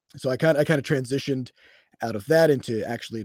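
Dark, mellow tone from a man in a US Midwestern accent, on a very clean recording with a silent background and a dry, close sound with no echo. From Iowa, US Midwest. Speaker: game studio CEO and programmer. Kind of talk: casual interview conversation. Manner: halting with fillers and repetitions.

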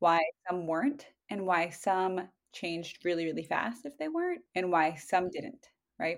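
The recording is very clean, with a silent background. A woman speaks at a moderate pace and medium pitch. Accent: American. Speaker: nutritionist. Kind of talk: casual chat.

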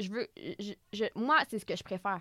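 A woman with a normal speaking voice at a medium pitch, fairly even intonation and a moderate pace, in a dry, close sound with no echo on a very clean recording with a silent background. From Quebec, Repentigny. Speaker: author and comedian. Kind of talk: interview.

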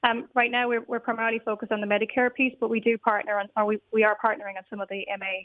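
A woman with an Irish accent talks at a very fast pace and a fairly high pitch, her intonation fairly even. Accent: Irish (Galway). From Ireland, Galway. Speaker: technology executive. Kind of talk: radio interview. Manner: hesitant, with fillers and repetitions.

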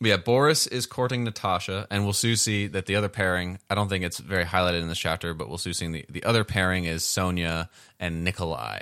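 Over a very clean recording with a silent background, a man with a very deep, low voice and a bright, sharp tone races along at a very fast pace with hardly any pauses and ordinary pitch variation. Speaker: podcast co-host reading a novel. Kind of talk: casual book discussion. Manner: halting, many restarts.

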